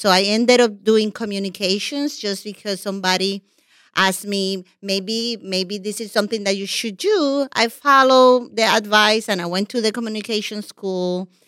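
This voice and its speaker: A woman with a Puerto Rican accent speaks at a fairly high pitch and a moderate pace with hardly any pauses, on a very clean recording with a silent background. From Puerto Rico. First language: Spanish. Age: 50s. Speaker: television executive. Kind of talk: podcast interview.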